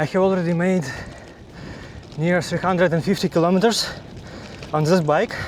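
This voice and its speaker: Amid noticeable background noise, a man with a non-native accent and a high pitch speaks at a moderate pace, with fairly even intonation and long, frequent pauses. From Ukraine. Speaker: cycling vlogger. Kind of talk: casual vlog monologue. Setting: outdoors on a bike. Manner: halting.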